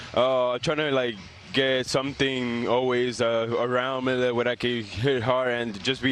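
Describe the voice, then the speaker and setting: In a Spanish accent, a man speaks at medium pitch and a fairly slow pace. His delivery is flat and monotone, with noticeable background noise behind it. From Dominican Republic, raised in Montreal. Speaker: professional baseball player. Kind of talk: TV interview. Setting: remote from ballpark. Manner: halting, many fillers.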